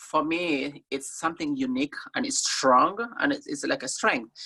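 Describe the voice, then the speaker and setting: A woman with an African accent speaks at a moderate pace. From Somalia, grew up in Kenya refugee camp. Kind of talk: interview. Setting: video call.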